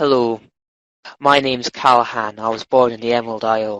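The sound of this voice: Putting on an Irish accent as part of a character voice, a man talks at a fairly quick clip with a medium pitch.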